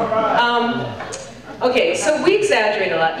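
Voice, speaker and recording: Against noticeable background noise and audible room echo, a woman talks with a fairly high pitch. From Cuban-American. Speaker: stand-up comedian. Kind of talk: stand-up comedy set. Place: stage.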